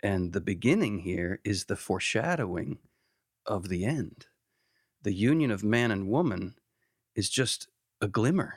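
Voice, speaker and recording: With fairly low pitch and lively intonation, a man talks at a fairly slow pace with long, frequent pauses on a very clean recording with a silent background. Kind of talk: casual conversational podcast with theological discussion.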